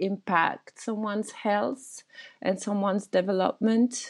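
A woman with a French accent speaks at a fairly slow pace. Her voice is fairly high. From France. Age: 30s. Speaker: Buddhist teacher and herbal medicine practitioner. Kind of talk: interview conversation.

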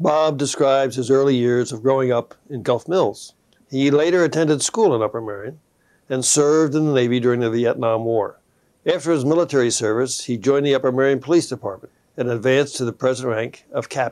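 A man with a plain, everyday voice at a medium pitch, ordinary pitch variation and a fairly quick pace, in a quiet background. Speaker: TV host and local historical society president. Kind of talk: interview intro and outro, oral history. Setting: studio.

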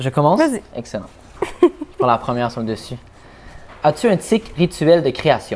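A man's fairly high voice makes very wide pitch swings. Long, frequent pauses break up his speech. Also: moderate pace. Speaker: rapper. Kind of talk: casual chat.

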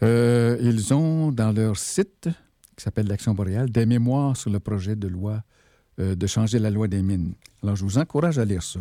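Recorded very cleanly with a silent background and a dry, close sound with no echo, a man with a Quebec accent speaks at a moderate pace in a dark, mellow tone, with a fairly low pitch and ordinary pitch variation. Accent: Québécois French. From Quebec, Abitibi. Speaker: radio host. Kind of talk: solo radio talk. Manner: halting.

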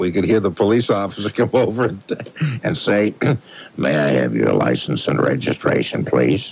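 Over noticeable background noise, a man with a fairly low pitch speaks at a fairly quick pace. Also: very even loudness. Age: 60s. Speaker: late-night radio host. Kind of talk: call-in radio show. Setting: radio studio. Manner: warm, laughing.

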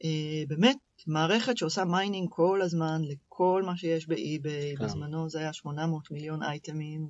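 Her pitch sits very deep and low for a woman, yet this woman's voice rises and falls in an ordinary way. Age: 30s. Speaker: product manager. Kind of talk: interview. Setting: studio.

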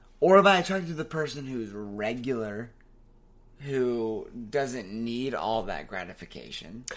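With audible room echo, a man speaks at a medium pitch and a fairly slow pace, his intonation lively. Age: 20s. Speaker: podcast guest. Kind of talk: casual chat.

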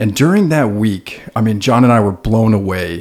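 A man with a plain, everyday voice talks at a moderate pace and a fairly low pitch. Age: 30s. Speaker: podcast co-host, firefighter. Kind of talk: casual interview.

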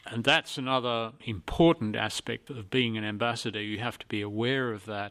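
A man with an Australian accent speaks at medium pitch and a moderate pace, with hardly any pauses. His tone is bright and sharp, his pitch varies in an ordinary way, and his loudness swings widely. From Australia, rural northern New South Wales. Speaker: retired diplomat. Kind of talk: interview.

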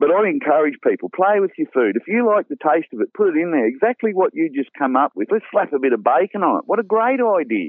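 Speaking very fast with hardly any pauses, a man with a strong Australian accent uses a high pitch and very wide pitch swings. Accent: broad Australian. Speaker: bush cook and cookbook author. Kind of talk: casual interview chat.

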